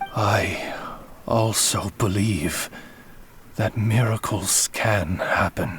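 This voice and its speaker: A put-on character voice talks at a very slow pace with long, frequent pauses. Background noise is clearly audible. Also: man, fairly low pitch for a man. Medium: video game. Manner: polite, formal.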